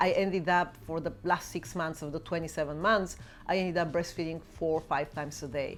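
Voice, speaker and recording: A woman talks at a fairly quick pace. She has a Bulgarian accent. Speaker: YouTuber and mother. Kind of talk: Q&A vlog.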